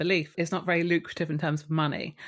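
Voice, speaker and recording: A southern English accent in a very clean recording with a silent background. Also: woman. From Kent, south-east England. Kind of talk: interview conversation.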